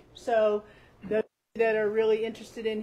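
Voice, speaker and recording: A woman's fairly high voice in an American accent, dark and mellow in tone, with flat, monotone intonation. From West Virginia, Eastern Panhandle (Grant County). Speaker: building owner and shop owner. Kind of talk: guided building tour. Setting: inside an old building, in-person tour group. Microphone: stopped using microphones after problems.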